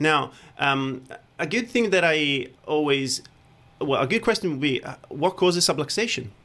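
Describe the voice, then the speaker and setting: At a moderate pace, the voice has a bright, sharp tone and lively intonation. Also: man, fairly high pitch for a man. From Italy. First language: Italian. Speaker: chiropractor. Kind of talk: radio interview. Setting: studio.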